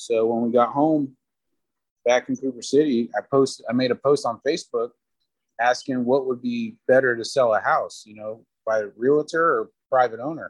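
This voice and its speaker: In an ordinary speaking voice, a man with an American accent talks at a moderate pace and medium pitch, his intonation fairly even and the sound dry and close with no echo. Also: big swings in loudness. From South Florida. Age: 30s. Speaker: father, podcast guest. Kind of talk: casual chat.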